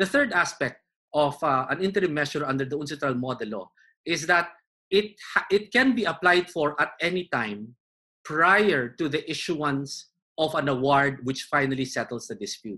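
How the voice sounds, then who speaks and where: A man with a fairly high, bright and sharp voice speaks with lively intonation at a moderate pace against a quiet background. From Philippines. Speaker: arbitration lawyer and arbitrator; arbitration lawyer. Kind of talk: webinar panel discussion. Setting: video call. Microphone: video call.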